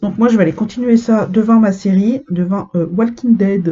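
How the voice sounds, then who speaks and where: A woman talks in a somewhat breathy voice, with ordinary pitch variation. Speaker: cross-stitch vlogger. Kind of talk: casual chat.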